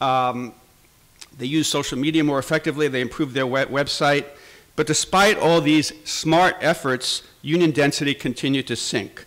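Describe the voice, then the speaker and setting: A man with an American accent and an ordinary speaking voice talks at a moderate pace, with fairly high pitch and fairly even intonation. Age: 60s. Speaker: labor journalist. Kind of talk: conference speech.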